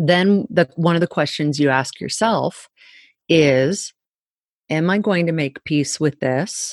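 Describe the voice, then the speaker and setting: A woman with a fairly low pitch talks at a very slow pace against a quiet background, in a dry, close sound with no echo. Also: ordinary pitch variation. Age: 40s. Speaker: fitness coach and podcaster. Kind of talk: interview.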